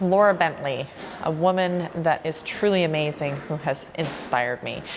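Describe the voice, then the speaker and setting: Fairly slow speech in a Canadian accent, with fairly even intonation and noticeable background noise. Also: woman. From Canada, Vancouver Island, British Columbia. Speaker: fitness trainer, gym owner. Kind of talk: documentary interview.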